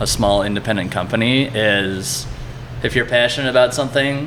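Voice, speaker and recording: Male speech in a Cleveland accent at a moderate pace, with noticeable background noise and audible room echo. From Cleveland, Ohio, US Midwest. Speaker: brewery marketing manager. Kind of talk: casual interview. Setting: at the brewery.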